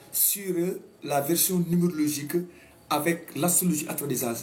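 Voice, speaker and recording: With noticeable background noise, a man in a Senegalese accent speaks at a moderate pace, his pitch high with ordinary variation. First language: Wolof (speaking French). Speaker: astrologer. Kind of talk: talk show monologue. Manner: halting.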